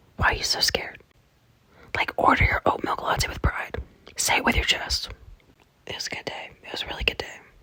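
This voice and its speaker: There is noticeable background noise. A woman whispers at a moderate pace. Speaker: vlogger. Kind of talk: casual vlog monologue. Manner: animated.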